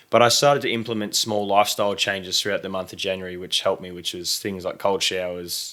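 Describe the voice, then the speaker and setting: Delivered at a very fast pace with hardly any pauses, a man's fairly low voice has a bright, sharp tone and fairly even intonation. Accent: Australian. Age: 20s. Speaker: content creator. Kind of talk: casual chat.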